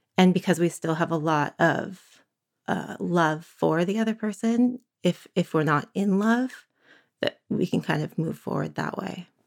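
A woman with a Northern California accent at a fairly low pitch, fairly slow pace and ordinary pitch variation, in a dry, close sound with no echo. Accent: Northern California American. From San Francisco, California. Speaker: divorcing mother. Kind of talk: interview. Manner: halting.

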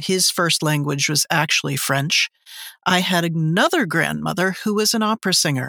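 In an American accent, a woman speaks at a moderate pace and fairly low pitch, with ordinary pitch variation, vocal fry, very even loudness and a bright, sharp tone. The recording is very clean, dry and close, with no echo and a silent background. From Newton, Massachusetts (Boston area). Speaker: audiobook narrator. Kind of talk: interview.

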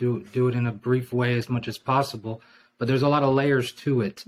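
Using an ordinary speaking voice, the man keeps a moderate pace. His pitch is medium and his intonation stays fairly even. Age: 40s. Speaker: former missionary. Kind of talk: casual interview.

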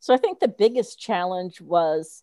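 With an American accent, a plain, everyday voice sounds dry and close with no echo against a quiet background. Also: woman. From New Jersey. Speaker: retired teacher and education consultant. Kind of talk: casual interview.

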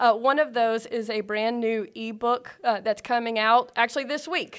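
A woman with an American accent has an ordinary speaking voice, fairly high in pitch, with fairly even intonation. She speaks at a moderate pace on a very clean recording with a silent background. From South Carolina. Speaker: ministry leader. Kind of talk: interview.

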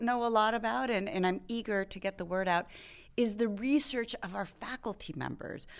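On a very clean recording with a silent background, a plain, everyday voice speaks at a moderate pace. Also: woman. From Texas. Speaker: dean of a public service school. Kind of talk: interview.

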